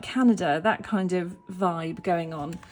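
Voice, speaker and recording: A woman speaks in a British accent with a dark, mellow tone. Her intonation is lively. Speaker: tarot reader and holistic life coach. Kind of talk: casual deck walkthrough to camera. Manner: animated.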